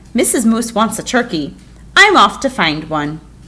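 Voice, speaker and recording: Using a put-on character voice, a woman swings her fairly high pitch very widely while keeping a moderate pace. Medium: read story.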